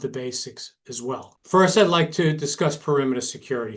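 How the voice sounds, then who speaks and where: Fairly high in pitch, a man speaks at a moderate pace. He has an American accent. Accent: Brooklyn accent, somewhat diluted. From New York, Brooklyn. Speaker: retired police detective, security director. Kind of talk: webinar presentation. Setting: online webinar.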